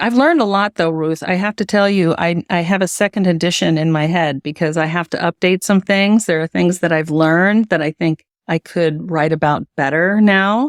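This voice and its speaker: In a normal speaking voice with an American accent, a woman with a fairly low pitch talks at a moderate pace with hardly any pauses, very even loudness and ordinary pitch variation, in a dry, close sound with no echo on a very clean recording with a silent background. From US Midwest, Cincinnati, Ohio. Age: 60s. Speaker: educational psychologist and author. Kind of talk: interview.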